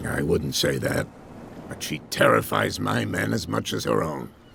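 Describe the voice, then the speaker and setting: At a moderate pace, a man does a raspy, put-on character voice with a very deep, low pitch over clear background noise. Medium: video game. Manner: folksy, chuckling.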